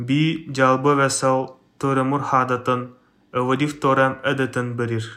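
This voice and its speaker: Speaking in a Siberian accent, a man talks very slowly at a medium pitch with monotone, flat intonation. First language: Even (speaking Russian). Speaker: listener sending a voice message. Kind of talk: recorded voice message in Even.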